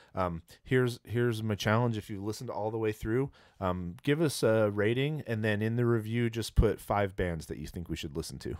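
The speech runs at a fairly quick pace with ordinary pitch variation. The background is quiet and the sound is dry with no echo. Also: man, fairly low pitch for a man. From California, San Jose; California. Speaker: podcast host. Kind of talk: casual chat. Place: studio. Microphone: studio mic.

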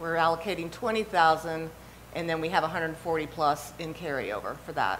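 A woman speaks fairly slowly at a fairly low pitch, her loudness swinging widely over light background noise. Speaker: city staff planner. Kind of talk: staff report presentation. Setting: city council chamber. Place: hall. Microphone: podium.

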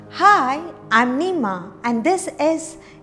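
A woman with faint music in the background. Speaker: cooking instructor. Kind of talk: tutorial. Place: kitchen.

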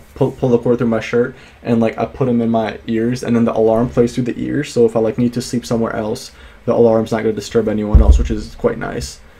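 With music in the background, a man speaks at a fairly quick pace using fairly even intonation. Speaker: student vlogger. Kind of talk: casual vlog chat. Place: home room. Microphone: studio mic.

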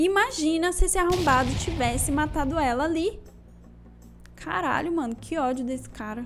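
Lively intonation and a moderate pace carry the voice over music in the background. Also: woman, high pitch for a woman. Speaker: content creator. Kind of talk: casual tier-list commentary. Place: home room. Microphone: handheld.

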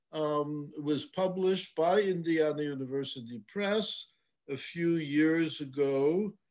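A man at a very slow pace, with ordinary pitch variation and a quiet background. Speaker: host introducing a lecture speaker. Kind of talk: formal introduction. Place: home room. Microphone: webcam.

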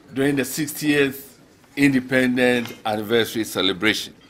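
With fairly even intonation, a man talks at a fairly slow pace. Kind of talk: formal speech. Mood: warm, proud. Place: hall. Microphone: podium.

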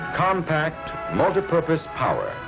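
A man speaks with faint music in the background. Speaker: film narrator. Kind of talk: promotional documentary narration.

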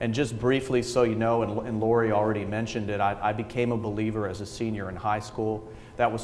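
A man's fairly low, monotone voice with flat intonation at a very fast pace, over light background noise. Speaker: guest. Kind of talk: speech with personal testimony. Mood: warm, earnest, light humor. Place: hall. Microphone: podium.

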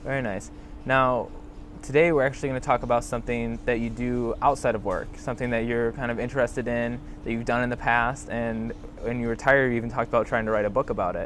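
This man talks at a very fast pace in a monotone, flat delivery, the sound dry with no echo and only light background noise. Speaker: student interviewer. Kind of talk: interview. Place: garden.

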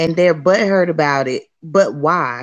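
Against a quiet background, a woman with an American accent talks in a normal speaking voice, fairly low in pitch, with lively intonation at a fairly slow pace. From Florida, US South. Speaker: caller and parent. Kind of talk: call-in comment.

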